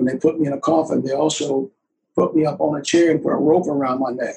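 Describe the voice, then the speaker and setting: Somewhat breathy and dark, mellow in tone, the voice carries a Southern US accent at a moderate pace. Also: man. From US South. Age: 80s+. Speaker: war veteran. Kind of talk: casual chat.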